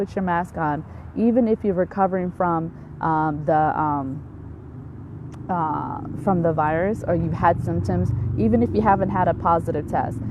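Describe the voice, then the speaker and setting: A woman with a fairly low pitch uses lively intonation and long, frequent pauses over noticeable background noise. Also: moderate pace. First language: Somali. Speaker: physician. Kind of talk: live stream health talk. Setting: outdoors in backyard. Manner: hesitant, many fillers.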